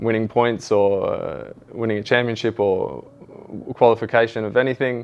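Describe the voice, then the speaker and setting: A man speaks at a moderate pace and medium pitch with a strong Australian accent. His intonation is monotone and flat. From Australia, Sydney area. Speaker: football coach. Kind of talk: interview. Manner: halting, many fillers and repeats.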